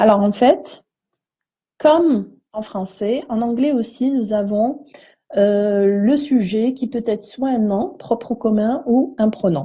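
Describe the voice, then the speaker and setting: Her voice fairly high, a woman speaks at a very slow pace in a dark, mellow tone with ordinary pitch variation. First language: neither French nor English (speaking French). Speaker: English teacher. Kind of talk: tutorial. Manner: hesitant, frequent fillers.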